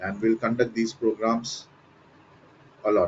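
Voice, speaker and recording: A man with a mid-range pitch talks fairly slowly. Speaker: corporate trainer. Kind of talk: online lecture. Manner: loud.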